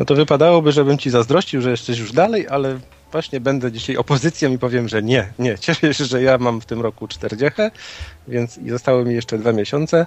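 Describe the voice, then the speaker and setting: A man's medium-pitched voice races along at a very fast pace, with ordinary pitch variation. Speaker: stand-in co-host. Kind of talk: casual chat.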